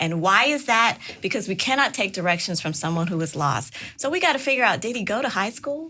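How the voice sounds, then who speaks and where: Over music in the background, a woman talks at a fairly quick pace in a fairly high voice, her pitch swinging very widely. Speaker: podcast host. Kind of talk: podcast interview host.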